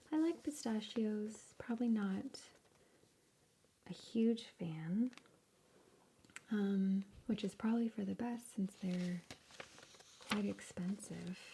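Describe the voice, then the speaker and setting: Soft-spoken and fairly high in pitch, a woman talks at a very slow pace with ordinary pitch variation. Her speech has long, frequent pauses. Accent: American. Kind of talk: ASMR magazine flip-through.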